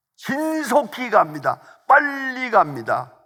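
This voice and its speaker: The voice is raised and projected, with a bright, sharp tone. It moves at a very slow pace while the pitch swings very widely. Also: man. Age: 80s+. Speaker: pastor. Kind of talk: sermon.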